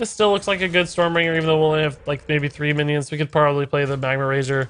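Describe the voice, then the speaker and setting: A man speaks very fast at a fairly high pitch with ordinary variation. His tone is bright and sharp. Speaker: game streamer. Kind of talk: live gameplay commentary. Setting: home stream, partner asleep. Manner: quieter than normal; hesitant, many fillers.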